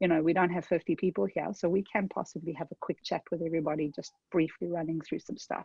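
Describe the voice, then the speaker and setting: A woman with a South African accent speaks at a very fast pace with hardly any pauses. Her pitch is fairly low. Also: fairly even intonation. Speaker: tech consultant. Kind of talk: webinar presentation. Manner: conversational, with fillers.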